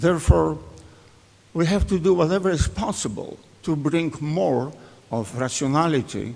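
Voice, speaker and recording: A man speaks in a Polish accent at a very slow pace. His pitch variation is ordinary. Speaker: economist, author. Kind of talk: conference speech.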